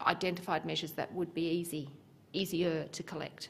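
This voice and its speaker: A woman speaks in an ordinary speaking voice. Her pitch is fairly low and her pace is moderate. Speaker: presenter. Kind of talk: conference talk. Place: hall. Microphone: podium.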